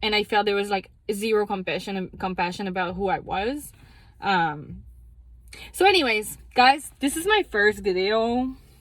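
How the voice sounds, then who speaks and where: A woman speaks with a strong French Canadian accent at a moderate pace. Her pitch is medium with ordinary variation, and the recording is very clean with a silent background. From Quebec. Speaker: psychotherapist. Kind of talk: casual monologue vlog. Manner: animated, frustrated; halting, self-correcting.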